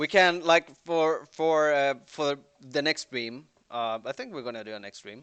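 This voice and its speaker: A man speaks with a Swedish accent and lively intonation at a fairly slow pace. The sound is dry and close with no echo. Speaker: band member. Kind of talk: livestream Q&A chat.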